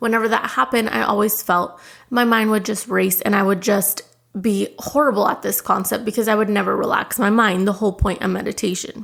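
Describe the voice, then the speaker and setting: A woman talks at a fairly quick pace with vocal fry. Her intonation is fairly even and her loudness very even. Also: medium pitch for a woman. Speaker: podcast host. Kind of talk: podcast monologue.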